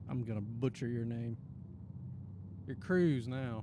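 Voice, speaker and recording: A man talks with a Southern Appalachian accent. Room echo is audible around him. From Appalachia, US Southeast. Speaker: gaming streamer and video creator. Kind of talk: casual live stream chat. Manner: relaxed, halting with fillers.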